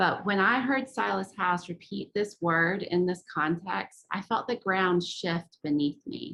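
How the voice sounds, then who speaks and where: A woman's medium-pitched voice, bright and sharp in tone, with ordinary pitch variation and a fairly slow pace. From Appalachia. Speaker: author and book editor. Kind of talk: reading aloud from own essay.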